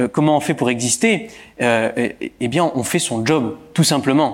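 Fairly high pitch and ordinary pitch variation from a man in an ordinary speaking voice. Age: 30s. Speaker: local politician. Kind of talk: interview. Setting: stage with audience.

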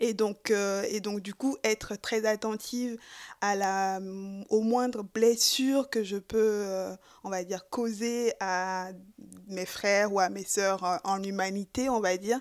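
A woman speaks at a medium pitch with fairly even intonation and a very slow pace. The recording is very clean, with a silent background. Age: 20s. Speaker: podcast guest, feminist believer. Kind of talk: interview. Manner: hesitant, many fillers.

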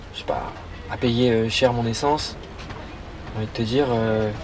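A man's medium-pitched voice, flat and monotone, at a moderate pace over noticeable background noise. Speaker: podiatry student. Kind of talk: casual chat.

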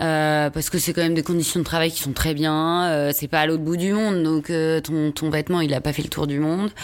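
A woman speaks at a fairly quick pace. Her pitch is very deep and low, and her intonation is monotone and flat. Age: 30s. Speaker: fashion brand founder. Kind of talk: casual chat.

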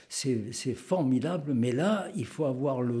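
Room echo can be heard around a man's voice. His tone is dark and mellow, with ordinary pitch variation. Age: 80s+. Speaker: retired naval model maker. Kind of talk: casual interview. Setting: home garage workshop.

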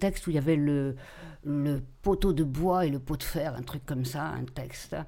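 The woman's voice has a dark, mellow tone. Her intonation is fairly even. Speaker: retired teacher, drama teacher. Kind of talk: casual chat.

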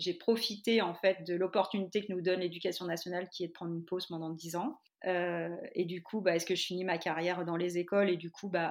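A woman in a normal speaking voice, fairly low in pitch, with fairly even intonation and a fairly quick pace, in a very clean recording against a silent background. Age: 40s. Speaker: primary school teacher turned yoga teacher. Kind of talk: interview.

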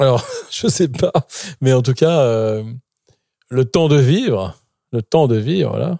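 Very slowly and with long, frequent pauses, a man speaks in a dark, mellow tone, the sound dry and close with no echo. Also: medium pitch for a man, lively intonation. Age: 40s. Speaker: philosopher and writer. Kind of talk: interview.

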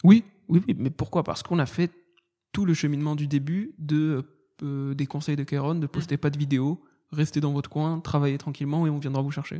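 In a very clean recording with a silent background, a man with a dark, mellow tone and fairly high pitch speaks at a fairly quick pace with fairly even intonation. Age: 20s. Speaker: stand-up comedian. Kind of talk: casual chat.

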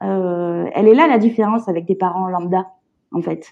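Moderate-paced speech from a woman, with ordinary pitch variation. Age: 30s. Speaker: illustrator and parent carer. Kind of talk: testimony. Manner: halting.

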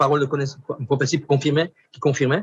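This man talks at a very fast pace with a fairly high pitch. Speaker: pastor. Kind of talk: testimony.

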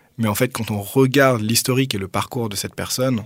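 A man talks at a very fast pace. His voice sits at a medium pitch with fairly even intonation. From Paris, France. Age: 30s. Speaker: doctoral researcher and author. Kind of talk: radio interview.

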